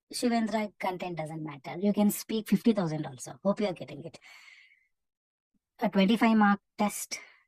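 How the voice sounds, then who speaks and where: With an Indian accent, a somewhat breathy woman speaks with long, frequent pauses and big swings in loudness, in a dry, close sound with no echo. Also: medium pitch for a woman, ordinary pitch variation, moderate pace. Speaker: English test coach. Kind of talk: live online class.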